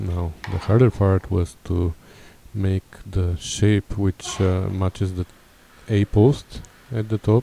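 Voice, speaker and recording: At a very slow pace, a man speaks with a Bulgarian accent and a fairly low pitch. Long, frequent pauses break up his speech. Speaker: car restorer. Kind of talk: tutorial; voiceover narration.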